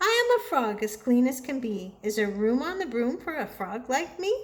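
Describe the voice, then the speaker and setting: A woman puts on a croaky character voice with a high pitch. She keeps a moderate pace. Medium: read story.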